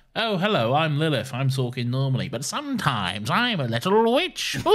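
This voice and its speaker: Using a put-on character voice, a man talks at medium pitch and a moderate pace over light background noise. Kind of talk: playful, self-introducing in a normal voice slipping into a witch voice.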